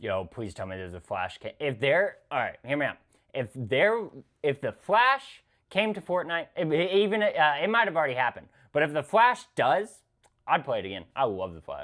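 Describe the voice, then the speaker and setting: This man's voice sits fairly high, with very wide pitch swings and vocal fry. He speaks at a moderate pace with big swings in loudness. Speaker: reaction streamer. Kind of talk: casual reaction commentary.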